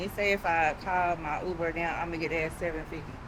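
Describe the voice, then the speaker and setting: Fairly quick speech amid noticeable background noise and audible room echo. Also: woman. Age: 40s. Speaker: travel vlogger. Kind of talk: casual vlog narration. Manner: animated.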